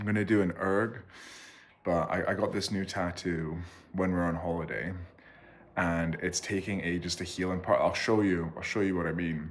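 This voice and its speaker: A man's very deep, low voice in a Scottish accent, monotone and flat at a moderate pace. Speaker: vlogger and rower. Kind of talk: casual vlog. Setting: at home.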